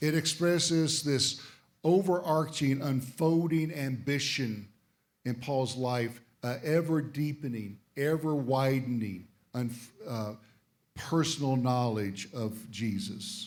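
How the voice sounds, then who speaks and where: A man talks at a very slow pace. His pitch is medium, with ordinary pitch variation. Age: 60s. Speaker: visiting pastor. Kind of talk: sermon. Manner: short phrases with pauses for the interpreter.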